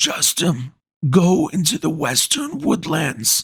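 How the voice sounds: This is a put-on character voice, raspy and wheezy. It moves at a fairly slow pace. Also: man, fairly high pitch for a man.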